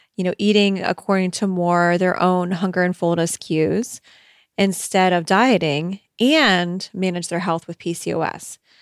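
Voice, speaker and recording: A woman's plain, everyday voice at medium pitch and a fairly slow pace, with a dry, close sound, no echo, and a very clean recording over a silent background. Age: middle-aged. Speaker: podcast host and eating coach. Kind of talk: casual advice monologue.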